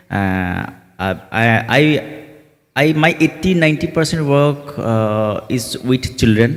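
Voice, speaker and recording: In an Assam accent, a man talks at medium pitch and a very slow pace with lively intonation. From Assam, India. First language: Assamese. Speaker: theatre director. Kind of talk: panel interview. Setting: festival meet-the-artists session. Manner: halting, many fillers.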